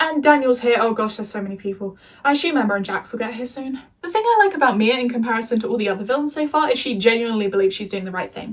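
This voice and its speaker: Over noticeable background noise, a woman with an English accent speaks very fast in a fairly high pitch, with ordinary pitch variation. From England. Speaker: youtuber. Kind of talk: review monologue. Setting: being filmed by a friend.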